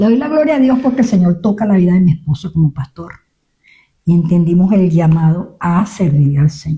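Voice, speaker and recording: In a dark, mellow, somewhat breathy voice with a fairly low pitch, a woman speaks at a fairly quick pace with lively intonation. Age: 70s. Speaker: pastor. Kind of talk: testimony. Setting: radio studio interview.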